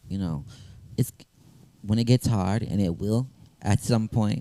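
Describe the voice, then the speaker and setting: A man with an American accent speaks in a dark, mellow tone with ordinary pitch variation, the sound dry and close with no echo. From US South, small-town Georgia. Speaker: rapper and songwriter. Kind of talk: interview. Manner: hesitant, many fillers.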